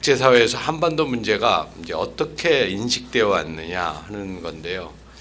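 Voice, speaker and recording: A man's fairly low voice at a moderate pace, very wide pitch swings, hardly any pauses, audible room echo and noticeable background noise. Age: 60s. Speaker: former diplomat, lecturer. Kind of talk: lecture. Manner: measured, with fillers.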